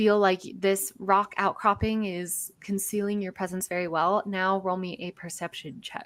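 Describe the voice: The words are read aloud. The reading is plain.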